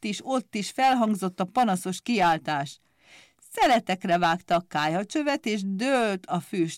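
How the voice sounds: Lively intonation in a natural reading voice.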